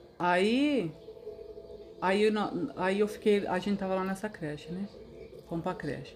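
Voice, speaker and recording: A woman at medium pitch and a fairly slow pace, with ordinary pitch variation, long, frequent pauses and noticeable background noise. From Brazil, Mato Grosso (Cáceres). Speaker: host's mother, interviewee. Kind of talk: casual chat, life story.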